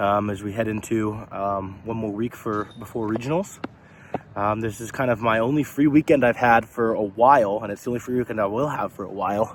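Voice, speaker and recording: Over noticeable background noise, a man of medium pitch talks at a fairly quick pace with fairly even intonation. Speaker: vlogger and college athlete. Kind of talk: casual vlog talk. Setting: outdoors playing disc golf. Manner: rambling, many fillers.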